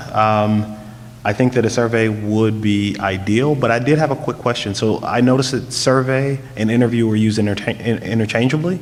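Against noticeable background noise, a man speaks at a fairly quick pace and medium pitch, his loudness very even and his intonation fairly even. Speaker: school board trustee. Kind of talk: board meeting discussion. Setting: school board meeting.

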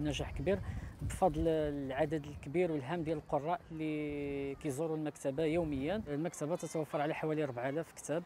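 A man's fairly high, dark, mellow voice carries fairly even intonation in a dry sound with no echo over light background noise. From Morocco. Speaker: beach library organizer. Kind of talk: interview. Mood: friendly, proud. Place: beach. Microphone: lapel.

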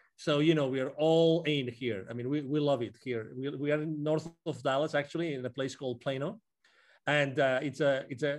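A man's fairly high-pitched voice at a moderate pace, fairly even in intonation, over a quiet background. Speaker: business consultant. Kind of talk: casual interview. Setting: remote call. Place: home room. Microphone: video call.

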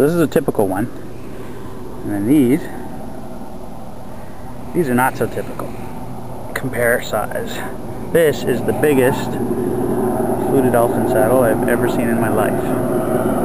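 A man at a moderate pace with long, frequent pauses and ordinary pitch variation, dry with no echo, under loud background noise. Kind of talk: casual vlog chat. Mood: proud, joking. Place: waterside. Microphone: phone near.

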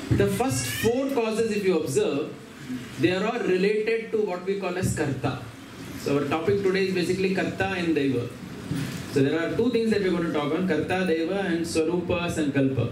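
Audible room echo and noticeable background noise surround a man talking at a fairly quick pace. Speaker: speaker. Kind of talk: scripture reading and lecture. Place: home room.

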